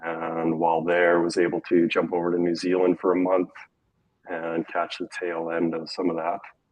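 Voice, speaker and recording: A man with a Western Canadian accent speaks at a moderate pace in a very deep, low, flat and monotone voice. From Alberta, Canada. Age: 30s. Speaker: skier and former snowboard instructor. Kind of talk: casual interview. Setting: live stream.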